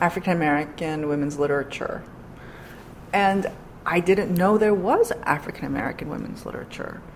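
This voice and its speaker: In a Korean accent, a woman speaks at a fairly low pitch against noticeable background noise. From New York City, Queens. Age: 40s. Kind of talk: interview.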